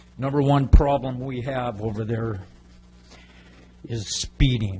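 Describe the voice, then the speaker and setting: A man's medium-pitched voice at a very slow pace, fairly even in intonation, with noticeable background noise. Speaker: resident speaking at public comment. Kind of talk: public comment. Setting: council chambers. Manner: loud.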